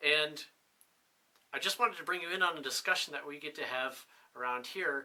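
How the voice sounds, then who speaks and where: With a New England accent, a man speaks at a fairly quick pace and fairly high pitch, his intonation ordinarily varied, against noticeable background noise. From New Hampshire. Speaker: military officer and instructor. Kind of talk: casual interview. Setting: on-camera 360 video interview.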